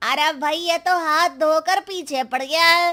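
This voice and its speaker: At a moderate pace, a woman performs a cartoonish character voice with extremely high pitch. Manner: nervous, startled.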